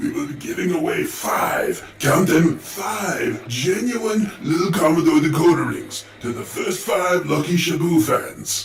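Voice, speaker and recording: A cartoonish character voice at a fairly slow pace, with a slight echo. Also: man, high pitch for a man. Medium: puppet. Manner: grandiose, comic.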